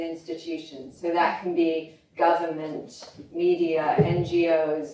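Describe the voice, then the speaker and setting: The speaker has a British accent. Noticeable background noise and audible room echo fill the recording. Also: woman. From London, England (born in Oklahoma, moved as small child). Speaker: health consultant and speaker. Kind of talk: conference talk.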